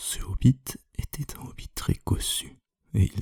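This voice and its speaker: A man whispers very slowly in a somewhat breathy voice. The sound is dry and close, with no echo. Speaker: ASMR creator. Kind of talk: reading aloud. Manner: whispering.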